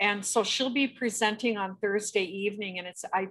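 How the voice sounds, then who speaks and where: With a normal speaking voice, a woman of medium pitch talks at a moderate pace with fairly even intonation, on a very clean recording with a silent background. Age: 60s. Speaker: webinar host. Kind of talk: casual chat.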